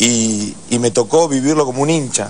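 A man's voice over light background noise. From Argentina. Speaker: rugby player; guest. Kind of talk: TV interview. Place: studio. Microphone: lapel.

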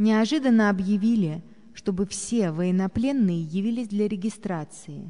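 A woman's somewhat breathy voice of medium pitch, dark and mellow in tone, at a fairly slow pace with ordinary pitch variation. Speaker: narrator reading a memoir.

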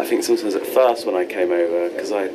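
Very rapid male speech under loud background noise. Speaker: comedian before a show. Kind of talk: interview answer. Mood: playful, laughing, self-mocking. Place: hall.

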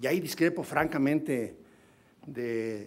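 This man's intonation is lively. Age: 60s. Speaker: legislator. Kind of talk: parliamentary speech. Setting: parliamentary forum. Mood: critical, pointed. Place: hall. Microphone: podium.

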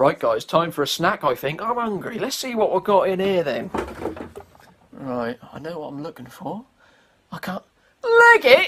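A man with a Norfolk accent talks in a high pitch at a moderate pace, with long, frequent pauses. His pitch swings very widely and his loudness shifts in big swings. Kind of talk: comedy sketch.

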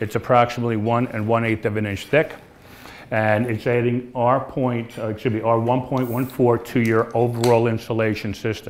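The man's intonation is fairly even. He speaks at a moderate pace. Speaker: presenter. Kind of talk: sales presentation. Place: hall.

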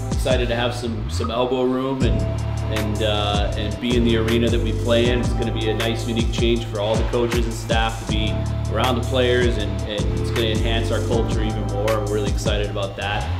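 A man at a fairly quick pace, with loud music in the background. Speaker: head coach. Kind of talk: tour guide commentary. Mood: upbeat, excited. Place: hall.

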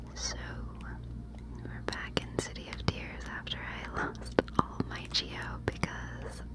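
Very slow speech from a woman amid noticeable background noise. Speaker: ASMR gaming creator. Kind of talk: ASMR gameplay commentary.

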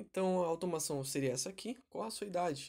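The pace is fairly quick. It is a very clean recording with a silent background. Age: 20s. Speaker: tech tutorial youtuber. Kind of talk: tutorial. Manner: casual, conversational.

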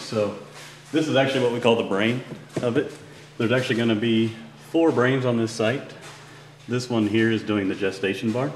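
With fairly even intonation, a man speaks at a fairly quick pace. Light background noise and audible room echo can be heard. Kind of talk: tour explanation. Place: factory.

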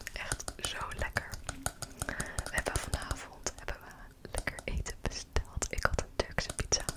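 A woman whispers, moving at a fairly slow pace and pausing long and often. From Netherlands. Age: 20s. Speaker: ASMR creator. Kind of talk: ASMR rambling. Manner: soft-spoken. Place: home room. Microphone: studio mic.

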